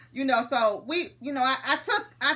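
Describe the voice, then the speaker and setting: A woman speaks loudly in an animated tone with an American accent. Her voice has a bright, sharp tone. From US Midwest, St. Louis, Missouri. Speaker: comedian. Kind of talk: casual chat.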